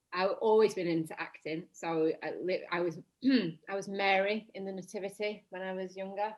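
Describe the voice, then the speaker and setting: With a Lancashire accent, a woman speaks with fairly even intonation and hardly any pauses. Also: medium pitch for a woman, moderate pace. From northern England, Blackburn, Lancashire. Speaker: actress. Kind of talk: casual chat.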